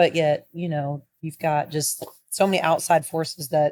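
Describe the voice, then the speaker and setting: Dry and close with no echo, the recording captures a woman with a very deep, low pitch. Her tone is animated. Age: 50s. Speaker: podcast co-host. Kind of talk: casual chat.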